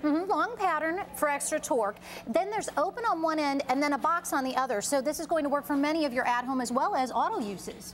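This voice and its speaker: A woman talks at a very fast pace with hardly any pauses, her pitch high. Noticeable background noise runs under her voice. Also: lively intonation. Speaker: TV host. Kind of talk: live home shopping TV pitch.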